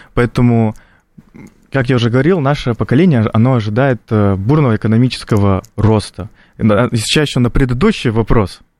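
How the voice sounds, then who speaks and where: A man talks fairly quickly at a medium pitch in a normal speaking voice. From North Ossetia, Russia. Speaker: political science student. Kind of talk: radio panel discussion.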